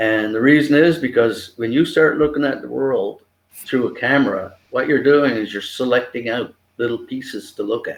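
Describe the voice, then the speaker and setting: Here is a man with a Newfoundland accent. He talks at a moderate pace. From Newfoundland, Canada (Grand Falls). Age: 70s. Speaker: photographer. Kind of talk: interview.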